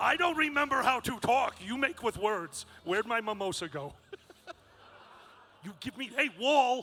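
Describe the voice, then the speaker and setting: A man with an extremely high pitch uses a raised, projected voice and lively intonation at a moderate pace. Long, frequent pauses break it up against noticeable background noise. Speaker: convention emcee. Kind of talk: live stage hosting. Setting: stage with audience. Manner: loud.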